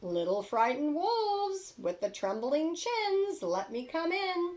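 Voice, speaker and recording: A woman's put-on character voice, extremely high in pitch, with very wide pitch swings and a fairly slow pace. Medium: read story. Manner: menacing.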